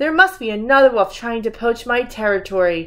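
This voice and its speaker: In a put-on character voice, a female-sounding speaker growls in a gruff, fairly high pitch at a moderate pace. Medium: read story. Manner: growling, gruff.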